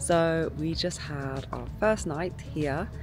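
A woman speaks over clear background music. The sound is dry, with no echo. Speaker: motovlogger. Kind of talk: casual vlog chat. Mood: relaxed, cheerful morning. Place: forest. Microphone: phone near.

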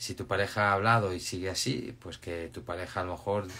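Somewhat breathy, a man speaks at a moderate pace. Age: 50s. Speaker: life coach. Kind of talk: live stream talk; live Q&A advice chat. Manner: casual, halting with repetitions. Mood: calm, reassuring. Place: home room. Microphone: phone near.

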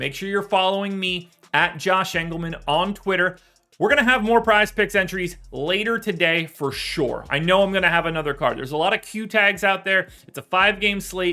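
A man's raised, projected voice at a moderate pace, with ordinary pitch variation and faint music in the background. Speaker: sports betting analyst. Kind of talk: commentary. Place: home room.

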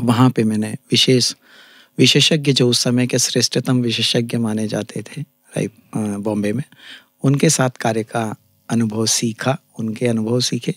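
Against a quiet background, the speech moves at a very slow pace with long, frequent pauses and fairly even intonation, the sound dry with no echo. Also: man. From India, Chhattisgarh (Raipur); Chhattisgarh. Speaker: ENT surgeon; guest. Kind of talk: interview. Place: studio. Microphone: studio mic.

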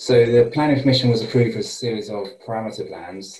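Room echo is audible around the man who is talking. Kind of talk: presentation briefing. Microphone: video call.

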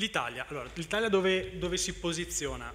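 Light background noise beneath a man's moderately paced speech. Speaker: charging equipment manufacturer representative; speaker. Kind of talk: conference talk. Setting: stage with audience. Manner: halting. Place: hall.

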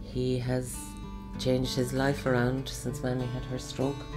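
A woman speaks at a fairly slow pace while clear music plays in the background. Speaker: daughter of a carer. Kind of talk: interview answer. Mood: warm, admiring. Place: home room.

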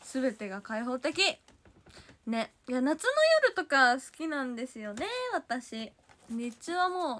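A woman with a Kansai accent speaks in a bright, sharp, animated tone at a high pitch, her loudness swinging widely and her intonation lively, at a fairly slow pace broken by long, frequent pauses. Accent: Kansai (Osaka) dialect. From Osaka, Japan. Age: 20s. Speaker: idol livestreamer. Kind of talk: casual livestream chat reading viewer comments. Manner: animated, frequent laughter. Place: home room. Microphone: phone near.

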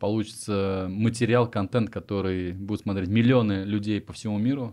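A man's fairly low voice at a fairly quick pace, with ordinary pitch variation, over a quiet background. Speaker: interviewer, podcast host. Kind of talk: casual interview. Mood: friendly, upbeat. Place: studio. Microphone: studio mic.

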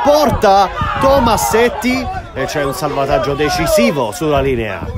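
Against crowd noise in the background, a man speaks in an animated tone at a fairly slow pace. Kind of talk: live sports commentary. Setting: amateur football match commentary over highlights. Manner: animated, rising intensity on shots and goals.

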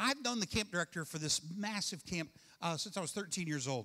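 The background stays quiet. A man talks with ordinary pitch variation. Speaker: pastor. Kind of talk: sermon. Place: church. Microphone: handheld.

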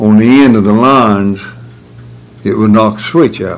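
A fairly slow pace in a North Carolina accent, with faint music in the background. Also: man. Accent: Southern US, North Carolina. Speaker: retired electrician; interviewee. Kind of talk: oral history interview answer. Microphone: old recording.

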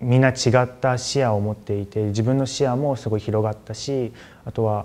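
Keeping a moderate pace, a man talks in a monotone with flat intonation. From Japan. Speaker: university student. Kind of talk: testimonial. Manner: halting, many fillers. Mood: calm, positive. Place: office. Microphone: lapel.

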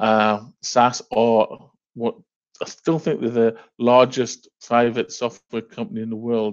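Against a quiet background, a man speaks very slowly in a monotone with flat intonation. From northeast England. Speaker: software company director. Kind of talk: business presentation. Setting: video call. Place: home room. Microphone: headset.

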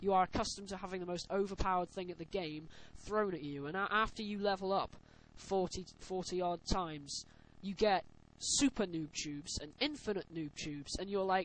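A man speaks at a fairly quick pace. His high pitch shows ordinary variation. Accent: British. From UK. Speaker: gaming commentator. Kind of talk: gameplay voiceover commentary. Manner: casual.

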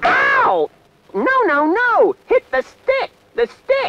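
This is a cartoonish character voice with an extremely high pitch. It moves at a very slow pace. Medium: puppet.

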